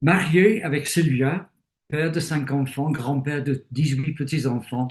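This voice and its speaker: Speaking at a very slow pace, a man with a British accent sounds somewhat breathy and has a fairly high pitch. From Britain. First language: English (speaking French). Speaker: retired theologian and bible teacher. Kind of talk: interview. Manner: hesitant with fillers.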